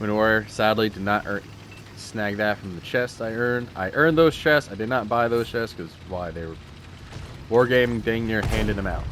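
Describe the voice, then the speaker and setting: A man with an American accent at medium pitch and a moderate pace, with ordinary pitch variation, over noticeable background noise. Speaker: gaming YouTuber. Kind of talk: live gameplay commentary. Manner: halting, stammering.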